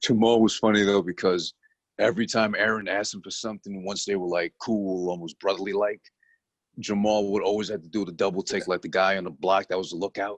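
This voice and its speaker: A man with a strong New York accent, fairly low pitch and monotone, flat intonation at a very fast pace, dry and close with no echo over a quiet background. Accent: heavier New York. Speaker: TV review podcast co-host. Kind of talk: casual chat. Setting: video call.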